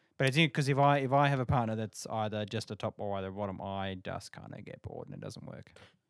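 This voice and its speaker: With an Australian accent, a man speaks very fast, with big swings in loudness. The recording is very clean, with a silent background and a dry, close sound with no echo. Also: medium pitch for a man, ordinary pitch variation. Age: 30s. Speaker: podcast guest. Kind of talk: casual chat.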